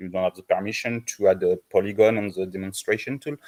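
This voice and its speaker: A man with a French accent, recorded in a dry, close setting with no echo. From south of France. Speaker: volunteer map editor on partner team. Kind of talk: online community meeting, casual feedback. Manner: halting, many fillers and restarts.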